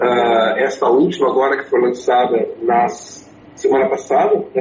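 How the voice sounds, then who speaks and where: Someone with an English accent talks at a fairly slow pace over noticeable background noise. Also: man. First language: English (speaking Portuguese). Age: 60s. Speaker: writer and public speaker. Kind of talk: interview. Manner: halting, many fillers and repeats.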